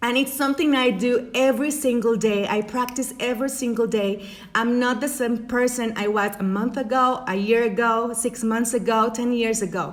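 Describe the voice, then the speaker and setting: A woman with a Spanish accent talks at a moderate pace in a fairly high voice, with hardly any pauses. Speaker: life coach. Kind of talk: motivational talk. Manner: halting.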